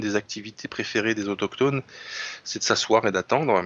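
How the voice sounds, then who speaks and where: A man's voice sits fairly low, moving fairly quickly with fairly even intonation. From France, Lorraine. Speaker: writer and commentator. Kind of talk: literary discussion.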